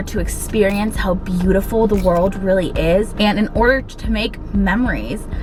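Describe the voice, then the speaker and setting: Woman at medium pitch with fairly even intonation and a moderate pace, with music in the background and audible room echo. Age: 20s. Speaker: lifestyle vlogger. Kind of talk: casual pep talk. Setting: in a car.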